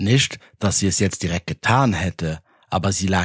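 It is plain reading aloud with ordinary pitch variation.

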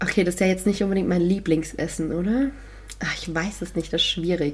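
Speaking fairly quickly with vocal fry, a woman keeps a fairly low pitch and fairly even intonation. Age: 20s. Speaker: podcast co-host, radio presenter. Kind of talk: casual chat.

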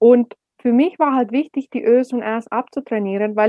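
A woman talks in a fairly high voice with ordinary pitch variation. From Finland. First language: Finnish (speaking German). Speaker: speaker and speech coach. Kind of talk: interview.

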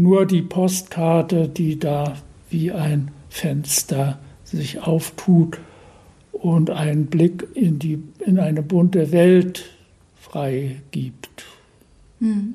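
A high-pitched man speaks at a very slow pace. He leaves long, frequent pauses and keeps his intonation fairly even. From northeastern Germany, Usedom island (born Berlin). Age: 80s+. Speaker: painter. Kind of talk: interview. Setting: his home near the beach. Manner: halting.

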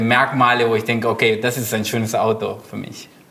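Noticeable background noise accompanies a man whose medium-pitched voice moves at a moderate pace. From Argentina, Buenos Aires. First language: Spanish (speaking German). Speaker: illustrator and designer. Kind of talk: casual chat.

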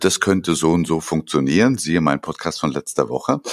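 A man speaks with lively intonation and vocal fry. The recording is very clean, with a silent background. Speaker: podcast co-host, business consultant. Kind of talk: casual chat.

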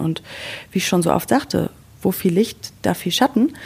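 At a moderate pace, a woman with a medium-pitched voice speaks in an ordinary speaking voice. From Sauerland, western Germany. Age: 30s. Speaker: podcast co-host. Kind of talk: casual chat.

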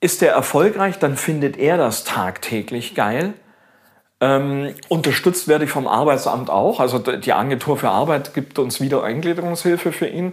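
This man has an ordinary speaking voice, pitched fairly high. He talks at a moderate pace with lively intonation. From Augsburg, Bavarian Swabia, Germany. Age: 50s. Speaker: baker. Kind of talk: casual interview. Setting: home kitchen.

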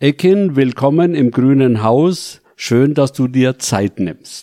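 A man talks very slowly with lively intonation and a dark, mellow tone. The recording is very clean, with a silent background. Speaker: local councillor and retired pastor. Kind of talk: interview. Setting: studio.

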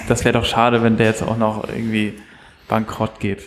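Speaking at a moderate pace, a man with medium pitch has a plain, everyday voice. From Hamburg, Germany. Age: 20s. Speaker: television writer. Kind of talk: casual chat.

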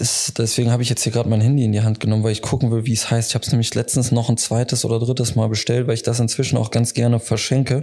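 This man talks in a flat monotone at a medium pitch, his loudness very even and hardly any pauses between words. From Leverkusen area, western Germany. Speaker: insurance broker. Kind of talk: casual interview.

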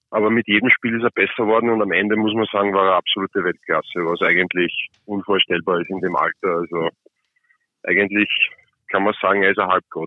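A man's fairly low voice, fairly quick in pace and fairly even in intonation. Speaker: ice hockey player. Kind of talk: interview. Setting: phone call.

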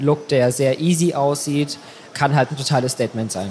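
A fairly high-pitched man at a fairly quick pace, fairly even in intonation, with noticeable background noise. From Saxony, Germany. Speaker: fashion blogger. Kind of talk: casual interview.

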